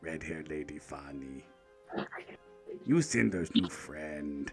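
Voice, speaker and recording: A man uses a put-on character voice with a very deep, low pitch and a fairly slow pace. Music plays clearly in the background. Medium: actual play. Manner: broken simple speech, giggling.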